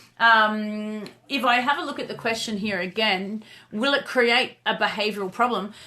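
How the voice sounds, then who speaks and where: A woman with an Australian accent speaks at a fairly high pitch in a bright, sharp tone, at a moderate pace with ordinary pitch variation. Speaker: dog trainer and live show host. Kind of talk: casual chat on a live video stream. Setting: live video stream. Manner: loud; animated.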